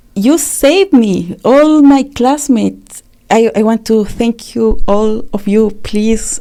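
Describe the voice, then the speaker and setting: A woman with a Spanish accent speaks at a very slow pace and a fairly high pitch, her dark, mellow tone carried by lively intonation with hardly any pauses. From Chile. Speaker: refugee and community activist. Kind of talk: interview testimony. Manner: halting with fillers.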